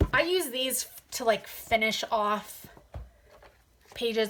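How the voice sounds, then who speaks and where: Her pitch is fairly high for a woman. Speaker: hobby youtuber, adult coloring. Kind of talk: casual haul video talk. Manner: hesitant, many fillers.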